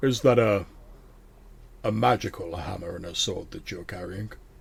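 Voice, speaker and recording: A man puts on a character voice with a fairly low pitch at a moderate pace. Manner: less demonic.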